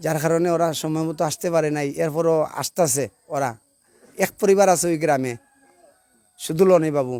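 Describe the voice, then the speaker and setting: A fairly high-pitched man's voice with fairly even intonation, dry and close with no echo. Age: 50s. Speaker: local resident making a grievance. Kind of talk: interview testimony.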